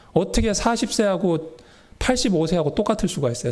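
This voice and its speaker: A man speaks at a fairly quick pace in a high pitch. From Seoul, South Korea. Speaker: pastor. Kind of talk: sermon. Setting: church.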